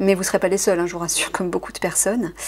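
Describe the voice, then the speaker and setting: Talking at a very fast pace, a woman keeps her medium pitch fairly even in intonation. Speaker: card reader and spiritual advisor. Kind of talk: tarot-style card reading.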